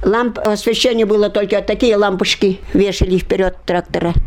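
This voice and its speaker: A woman with fairly even intonation talks at a medium pitch and moderate pace while noticeable background noise carries on. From Udmurtia, Russia. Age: 80s+. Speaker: war veteran. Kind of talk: oral history interview.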